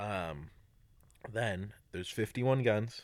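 An ordinary speaking voice with ordinary pitch variation comes through on a very clean recording with a silent background. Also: man. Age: young. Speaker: podcast guest. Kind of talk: casual chat.

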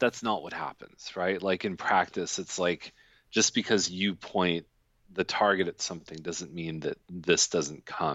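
A man with a Canadian accent speaks in a very deep, low voice with fairly even intonation. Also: fairly slow pace. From Canada, Toronto. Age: 40s. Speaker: real estate agent. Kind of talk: casual interview. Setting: video call.

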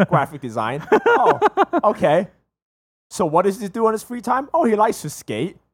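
An animated man with an American accent, high in pitch, with very wide pitch swings and a moderate pace. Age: 20s. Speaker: podcast co-host; HVAC worker and technical school teacher. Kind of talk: casual chat. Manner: animated, laughing often.

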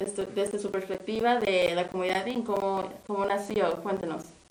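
A woman's medium-pitched voice with audible room echo and noticeable background noise. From Mexico. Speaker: community radio host. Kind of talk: radio interview.

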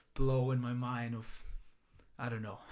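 The man here speaks with a Greek accent. His pitch sits in the medium range. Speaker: run club founder, salesperson. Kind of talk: casual chat.

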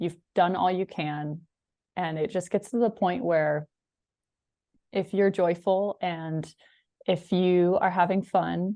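An ordinary speaking voice with an American accent, its intonation fairly even throughout. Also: woman. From Washington State, US. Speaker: sports broadcaster. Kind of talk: casual interview. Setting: video call from home.

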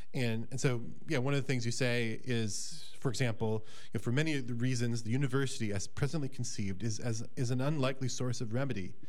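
A very fast man with an American accent, medium in pitch, with fairly even intonation, very even loudness and audible room echo. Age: 40s. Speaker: podcast host, college director. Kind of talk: casual interview. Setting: radio studio.

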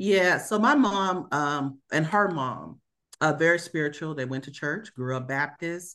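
A woman's very deep, low voice with an American accent, fairly slow in pace, ordinary in pitch variation, over a quiet background. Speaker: aerospace engineering leader and consultant. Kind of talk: interview conversation.

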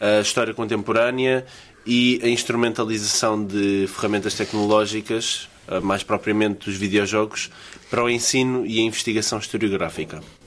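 At a moderate pace, a man in a normal speaking voice talks with a medium pitch and ordinary pitch variation. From Portugal. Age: 20s. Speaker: student podcast host. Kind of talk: casual chat.

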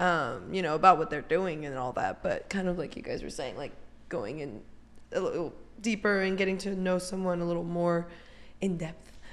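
This woman speaks at a moderate pace with a fairly low pitch. Her pitch varies in an ordinary way. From California, US. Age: 20s. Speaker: magazine editor and celebrity interviewer. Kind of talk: casual chat. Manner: talkative.

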